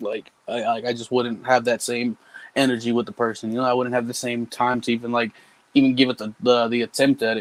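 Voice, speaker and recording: Fairly quick, medium-pitched male speech with monotone, flat intonation and a dry, close sound with no echo. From New Mexico, Albuquerque. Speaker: rapper. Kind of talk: interview. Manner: halting.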